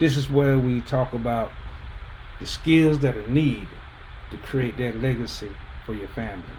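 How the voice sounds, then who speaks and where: A man speaks at a medium pitch and a moderate pace, leaving long, frequent pauses. His loudness swings widely, and there is noticeable background noise. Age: 60s. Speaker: personal finance coach. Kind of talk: livestream talk. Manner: casual, conversational.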